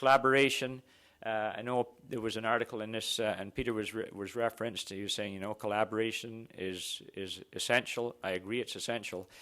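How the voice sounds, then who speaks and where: On a very clean recording with a silent background, a man speaks fairly quickly in a medium pitch, his tone bright and sharp and his intonation fairly even. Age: 60s. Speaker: exploration geophysicist. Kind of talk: conference presentation. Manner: halting.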